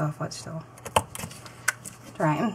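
A woman's low-pitched voice, slightly mellow in tone, at a moderate pace.

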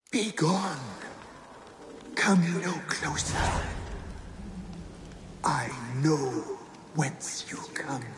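A put-on character voice at middle pitch and a very slow pace, broken by long, frequent pauses. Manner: warning, commanding.

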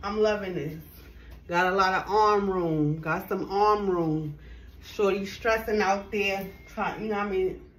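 Over light background noise, a woman speaks fairly slowly with fairly even intonation. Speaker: fashion vlogger. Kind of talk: casual try-on haul chat. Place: home room. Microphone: camera far.

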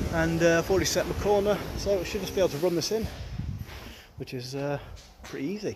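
Speaking at a fairly quick pace with ordinary pitch variation, a man is heard over noticeable background noise. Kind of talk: casual vlog chat. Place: street. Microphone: phone near.

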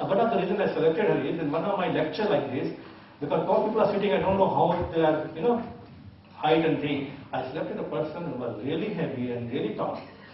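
Over light background noise and audible room echo, a man speaks very fast. His voice is fairly high, with lively intonation. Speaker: hypnotist teacher. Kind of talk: hypnosis induction. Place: hall. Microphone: camera far.

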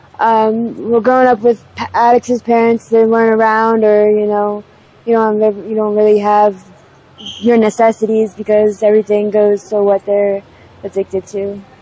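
In an American accent, the speaker holds a monotone, flat intonation at a moderate pace, with a dry sound and no echo. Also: woman. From Pennsylvania, US. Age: 20s. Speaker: homeless drug user interviewee. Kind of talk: street interview. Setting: outdoors on the street. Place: street. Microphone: lapel.

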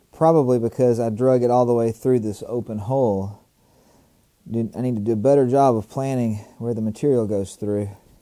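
A man speaks at a fairly quick pace in a dark, mellow tone, with fairly even intonation against a quiet background. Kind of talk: tutorial.

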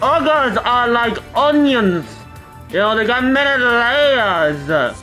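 A put-on character voice with fairly high pitch moves at a very slow pace. Clear music plays in the background.

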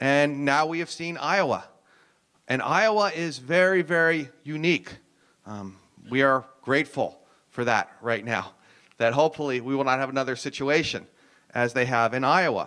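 Speaking with an American accent, a man with a fairly high pitch and a bright, sharp tone talks at a moderate pace with ordinary pitch variation, leaving long, frequent pauses against a quiet background. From US Northeast (New Jersey). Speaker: professor. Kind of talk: lecture. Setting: stage with audience. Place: hall. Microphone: handheld.

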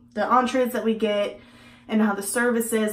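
A woman at a fairly quick pace with fairly even intonation, amid audible room echo. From Texas. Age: 20s. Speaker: beauty vlogger. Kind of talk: casual vlog and makeup tutorial; casual vlog chat. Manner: casual, with many fillers. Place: home room.

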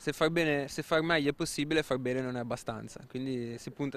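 A man's medium-pitched voice at a very fast pace, fairly even in intonation, with a dry sound and no echo. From Genoa, Italy; Italy. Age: 20s. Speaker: motorcycle racer. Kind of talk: interview. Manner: halting, repeats words. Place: street. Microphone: handheld.

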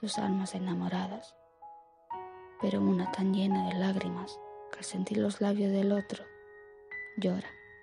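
Whispering and soft-spoken, a woman talks at a fairly slow pace with very even loudness and long, frequent pauses while music plays in the background. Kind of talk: poetry reading. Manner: soft-spoken, half whisper; slow, relaxing.

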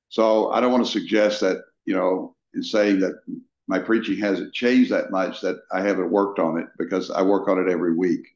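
Against a quiet background, a man with an American accent speaks at a fairly quick pace amid audible room echo. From Texas. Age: 70s. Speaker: pastor. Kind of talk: interview. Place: office. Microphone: video call.

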